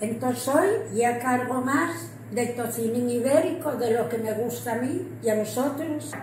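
Someone with an Asturian accent speaks at a fairly slow pace with ordinary pitch variation. Light background noise and audible room echo are present. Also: woman, high pitch for a woman. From Asturias, Spain. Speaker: home cook. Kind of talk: casual cooking talk to camera. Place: kitchen. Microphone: phone near.

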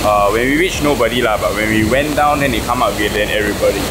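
A man at a very fast pace over loud background noise. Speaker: travel vlogger. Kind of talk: casual vlog chat. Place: rain. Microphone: phone near.

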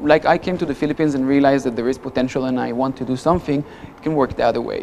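A man talks at a very fast pace in a fairly high voice. There is light background noise. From Israel. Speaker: business chamber president and entrepreneur. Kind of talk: interview. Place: studio. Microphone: lapel.

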